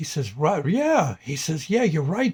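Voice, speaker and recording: A man speaks in a somewhat breathy voice with a fairly high pitch. His pace is moderate and his intonation lively. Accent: American. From US Northeast (New Jersey). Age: 70s. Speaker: vlogger. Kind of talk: casual vlog monologue. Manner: halting, many fillers.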